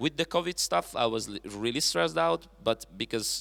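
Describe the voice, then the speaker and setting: This is a man recorded very cleanly against a silent background. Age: 20s. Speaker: musician. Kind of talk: panel discussion. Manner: halting.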